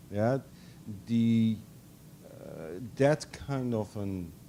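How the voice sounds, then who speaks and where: Dark and mellow in tone, a man's voice carries ordinary pitch variation. Room echo is audible. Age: 60s. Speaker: professor. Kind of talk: lecture Q&A answer. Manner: halting, many fillers.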